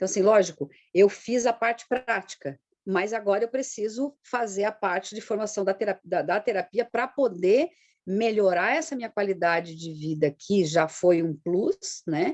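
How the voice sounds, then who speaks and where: At a moderate pace, a woman talks in a plain, everyday voice of medium pitch with lively intonation, recorded with a dry, close sound with no echo against a quiet background. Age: 60s. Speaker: integrative therapist, client giving testimony. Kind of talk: testimony interview.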